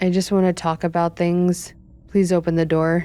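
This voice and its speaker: A put-on, robotic character voice at a middle pitch keeps a monotone, flat intonation and a moderate pace. The recording is very clean with a silent background. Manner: flat, insistent.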